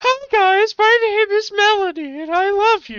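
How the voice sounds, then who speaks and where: In a put-on character voice, the speaker talks at a moderate pace with an extremely high pitch. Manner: girly, cutesy.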